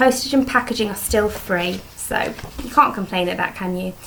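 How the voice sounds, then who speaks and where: Against noticeable background noise, a woman with a British accent speaks with fairly even intonation. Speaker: beauty vlogger. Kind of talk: casual vlog product review. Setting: home dining room. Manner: fast.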